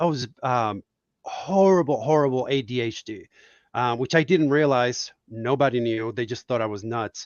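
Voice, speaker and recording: With a Spanish accent, a man speaks at medium pitch and a moderate pace, using ordinary pitch variation. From Puerto Rico. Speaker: cartoonist. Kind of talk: casual chat. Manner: animated.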